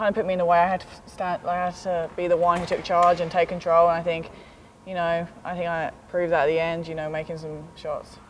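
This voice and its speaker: The speaker talks at a very fast pace. The voice comes with a British accent. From London, England. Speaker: college basketball player. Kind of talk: interview.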